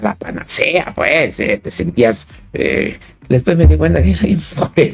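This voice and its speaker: Speaking at a fairly slow pace, a man with a medium pitch lets his voice move in very wide pitch swings. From Chiapas, Mexico. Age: 60s. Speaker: philosopher and poet. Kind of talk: interview. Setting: radio studio, live broadcast. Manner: halting, many repetitions and fillers.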